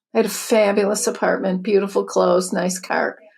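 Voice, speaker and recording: A woman with a Chicago accent, medium in pitch, at a fairly quick pace. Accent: Chicago American. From US Midwest, Chicago. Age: 60s. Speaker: spiritual teacher and author. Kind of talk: podcast interview.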